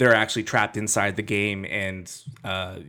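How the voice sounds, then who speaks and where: A man with a plain, everyday voice, fairly low in pitch, at a moderate pace on a very clean recording with a silent background. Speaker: podcast co-host, movie reviewer. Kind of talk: casual chat.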